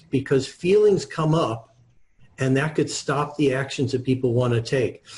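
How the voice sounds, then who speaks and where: A man with a fairly high, somewhat breathy voice talks at a moderate pace. His loudness stays very even throughout. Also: ordinary pitch variation. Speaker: author and wealth coach. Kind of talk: interview.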